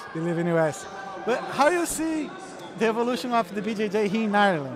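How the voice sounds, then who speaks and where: A man with a Portuguese accent at a very fast pace, high-pitched with very wide pitch swings, amid audible room echo and noticeable background noise. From Brazil, Rio de Janeiro. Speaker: podcast host. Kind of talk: casual interview.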